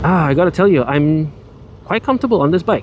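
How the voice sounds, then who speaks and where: Noticeable background noise sits behind a man's voice. He talks at a fairly quick pace with ordinary pitch variation. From Malaysia. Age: 40s. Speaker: motovlogger. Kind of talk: casual riding vlog narration. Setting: on a motorbike outdoors.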